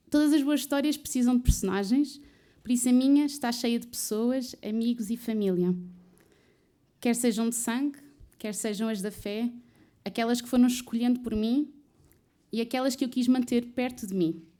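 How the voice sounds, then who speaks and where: A woman talks with a high pitch and a dark, mellow tone, leaving long, frequent pauses. The recording is very clean, with a silent background. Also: ordinary pitch variation, moderate pace. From Portugal, Odivelas (Lisbon area). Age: 20s. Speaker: student and trainee recruiter. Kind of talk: personal storytelling talk.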